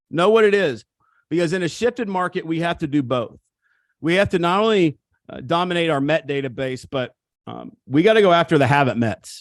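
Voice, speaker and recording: A man with a high voice and an American accent talks fairly quickly in an animated tone. The very clean recording has a silent background and a dry, close sound with no echo. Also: lively intonation. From Missouri. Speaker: real estate coach. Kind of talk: seminar talk. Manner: animated, emphatic.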